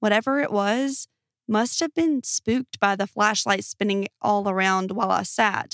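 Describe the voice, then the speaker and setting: In a dry, close sound with no echo, a woman speaks in a plain, everyday voice at a medium pitch and a moderate pace, with ordinary pitch variation and very even loudness. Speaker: podcast host reading Reddit stories. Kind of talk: scripted true-crime horror narration, reading listener-style Reddit stories aloud.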